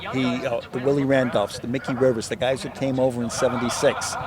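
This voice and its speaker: Against noticeable background noise, a man with an American accent speaks at medium pitch and a fairly quick pace. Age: 60s. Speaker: baseball fan. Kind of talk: interview. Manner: animated.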